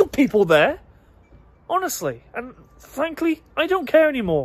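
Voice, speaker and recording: Speaking at a fairly quick pace, a man with a British accent moves through very wide pitch swings. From Britain. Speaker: political podcaster. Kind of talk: opinion rant monologue. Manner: animated.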